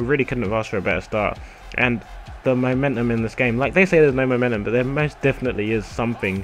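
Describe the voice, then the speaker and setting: A man speaks with a medium pitch and fairly even intonation. Noticeable background noise runs behind him. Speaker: gaming youtuber. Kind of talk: gameplay commentary. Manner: casual, hesitant with fillers.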